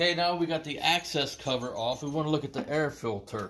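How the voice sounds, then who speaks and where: The man's pace is moderate. Ordinary pitch variation runs through his speech. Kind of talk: tutorial. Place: garage. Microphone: phone near.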